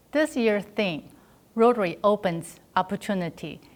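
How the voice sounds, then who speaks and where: A woman with a Chinese accent, moderate pace and ordinary pitch variation. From China. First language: Mandarin Chinese. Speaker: district governor-elect, club volunteer. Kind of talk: prepared congratulatory speech.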